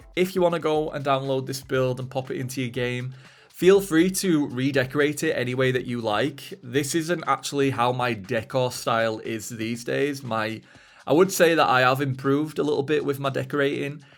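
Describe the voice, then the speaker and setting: A man at fairly high pitch, moderate pace and ordinary pitch variation, with music in the background. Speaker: Sims speed-build YouTuber. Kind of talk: voice-over narration of a game build video. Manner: casual, with frequent fillers.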